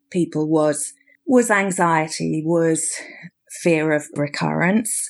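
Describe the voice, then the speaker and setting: On a very clean recording with a silent background, a woman with a British accent speaks at a very slow pace with ordinary pitch variation. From Britain. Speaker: clinical psychologist. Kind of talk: interview. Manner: halting, repeats words.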